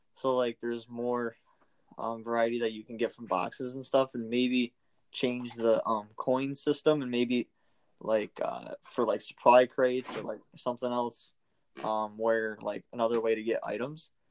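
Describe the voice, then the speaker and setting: A man's medium-pitched voice at a moderate pace, monotone and flat, with big swings in loudness and a dry, close sound with no echo. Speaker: college student, gamer. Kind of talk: casual chat.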